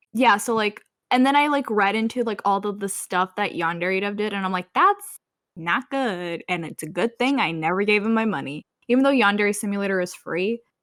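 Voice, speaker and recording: Medium pitch and ordinary pitch variation in a woman's voice. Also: fairly quick pace. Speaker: podcast co-host. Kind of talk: casual chat. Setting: voice call.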